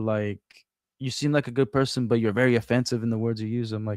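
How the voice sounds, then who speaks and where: Monotone, flat intonation in a dry, close sound with no echo. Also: man. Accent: Portuguese. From Brazil. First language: Portuguese. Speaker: former store franchise owner, streamer. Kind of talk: casual interview chat. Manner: halting with many fillers.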